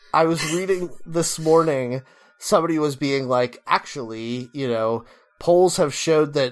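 A normal speaking voice from a man, fairly high in pitch, at a moderate pace with ordinary pitch variation. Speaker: podcast host. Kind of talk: casual banter, comedic chat.

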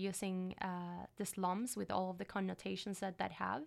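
This is a woman speaking with a Puerto Rican accent. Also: very clean recording, silent background. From Puerto Rico. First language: Spanish. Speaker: PhD student. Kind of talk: academic interview. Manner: hesitant, many fillers.

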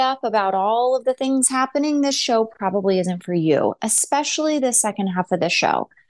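Against a quiet background, a woman with an American accent talks at a moderate pace in a plain, everyday voice with a fairly high pitch. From United States. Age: 40s. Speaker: nurse and podcast host. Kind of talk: solo commentary monologue.

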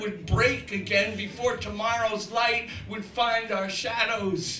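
A raised, projected voice goes at a very slow pace with fairly even intonation. Noticeable background noise is present. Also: man. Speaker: spoken word poet. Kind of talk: spoken word poetry, improvised.

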